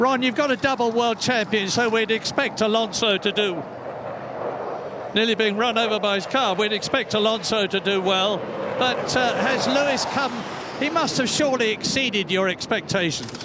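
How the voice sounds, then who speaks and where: Amid noticeable background noise, a man with a high voice speaks in a raised, projected way at very even loudness. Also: ordinary pitch variation, moderate pace. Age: 80s+. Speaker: motorsport commentator. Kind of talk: live sports broadcast reporting. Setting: outdoors. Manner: enthusiastic, excitable.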